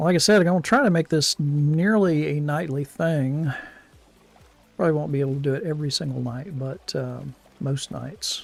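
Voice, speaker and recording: With ordinary pitch variation, the speech moves at a moderate pace as music plays in the background. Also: man, fairly high pitch for a man. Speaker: gaming streamer. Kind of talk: casual live-stream commentary. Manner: halting, many fillers and repeats.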